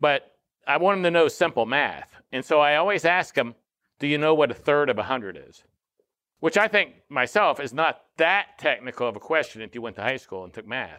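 A man with a plain, everyday voice speaks at a moderate pace and a fairly high pitch, with lively intonation and big swings in loudness. The recording is very clean, with a silent background. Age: 60s. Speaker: podcast host. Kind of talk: casual chat.

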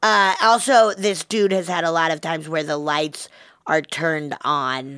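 In a very clean recording with a silent background, a woman with a plain, everyday voice speaks at a fairly slow pace, her fairly low pitch moving with lively intonation. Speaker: podcast co-host. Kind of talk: casual chat.

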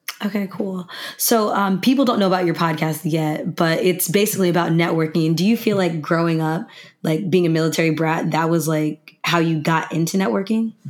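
Over noticeable background noise, a woman with a fairly low pitch speaks at a fairly quick pace, with very even loudness and ordinary pitch variation. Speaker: podcast host. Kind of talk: casual chat.

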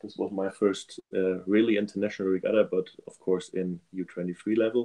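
A man's very deep, low voice in a German accent, with a dark, mellow tone, fairly even intonation and a fairly slow pace. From Germany. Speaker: elite rower. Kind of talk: interview. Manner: halting, many fillers.

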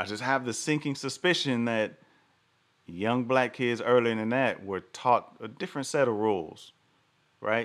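A man's medium-pitched voice at a moderate pace with ordinary pitch variation, on a very clean recording with a silent background. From US South. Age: 40s. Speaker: podcast host. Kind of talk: solo commentary livestream. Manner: animated.

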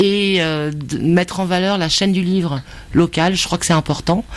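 Her voice fairly low, a woman speaks at a very slow pace with ordinary pitch variation. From Brittany. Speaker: bookseller. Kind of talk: interview.

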